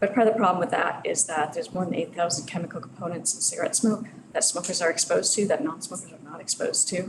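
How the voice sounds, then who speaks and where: Soft-spoken and very fast with hardly any pauses, a woman talks over noticeable background noise. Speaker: researcher. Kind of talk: lecture. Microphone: too quiet, mic moved closer.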